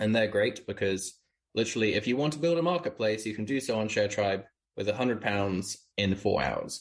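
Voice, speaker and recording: A man with a British accent talks fairly quickly at a fairly low pitch and very even loudness. His pitch varies in an ordinary way against a quiet background. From UK. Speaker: startup founder. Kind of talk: interview.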